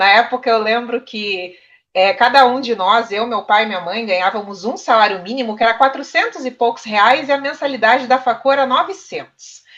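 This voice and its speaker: A woman's unremarkable speaking voice, fairly high in pitch, with lively intonation, a moderate pace and hardly any pauses. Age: 30s. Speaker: journalism student. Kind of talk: panel discussion.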